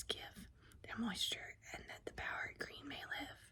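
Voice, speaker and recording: The speaker whispers in a soothing tone at a moderate pace. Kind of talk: whispered poetry reading, ASMR. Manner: whispered, soothing.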